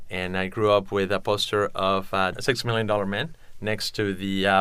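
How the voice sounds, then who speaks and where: A man with a Spanish accent speaks at a moderate pace and a fairly low pitch. His tone is bright and sharp. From Mexico City, Mexico. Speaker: entrepreneur. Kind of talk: interview.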